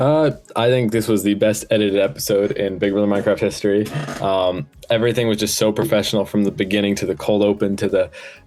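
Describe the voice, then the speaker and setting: Amid noticeable background noise, a man with an American accent speaks very fast at a fairly low pitch, with fairly even intonation and very even loudness. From New Jersey. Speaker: show producer and former contestant. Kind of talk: casual podcast chat.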